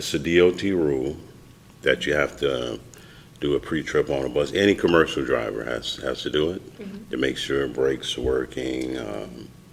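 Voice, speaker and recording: The speech moves at a fairly slow pace, with vocal fry throughout. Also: man. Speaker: bus driver and poet. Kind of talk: podcast interview answer.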